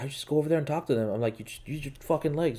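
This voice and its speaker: A man speaks in a Quebec accent with a dark, mellow tone. His pitch shows ordinary variation. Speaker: podcast host. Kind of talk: casual chat. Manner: halting, many fillers and restarts.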